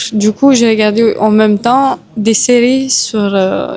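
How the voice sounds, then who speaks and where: With a Romanian accent, a woman speaks at a fairly high pitch and fairly even intonation over noticeable background noise. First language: Romanian (speaking French). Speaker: Muay Thai boxer. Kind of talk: interview.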